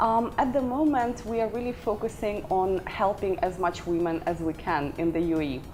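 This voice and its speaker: Music plays in the background as a woman speaks. Her medium-pitched voice moves at a moderate pace with lively intonation. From Ukraine, Odessa. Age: 30s. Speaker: career coach and company founder. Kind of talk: interview.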